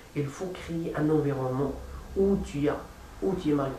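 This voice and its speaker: Fairly high-pitched, a man with a non-native accent speaks at a moderate pace amid noticeable background noise and audible room echo. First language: not French (speaking French). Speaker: language learner vlogger. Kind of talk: practice monologue. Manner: halting, many repetitions and fillers.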